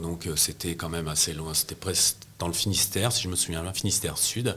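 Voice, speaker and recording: The man's pitch is very deep and low. He keeps his intonation fairly even. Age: 60s. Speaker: press photographer. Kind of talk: interview. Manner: hesitant, many fillers and repetitions.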